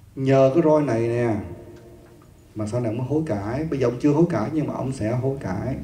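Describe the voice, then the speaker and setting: Light background noise and audible room echo accompany a man's voice. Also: ordinary pitch variation, moderate pace. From Vietnam. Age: 50s. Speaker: Buddhist monk teacher. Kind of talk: dharma lecture. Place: hall. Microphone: handheld.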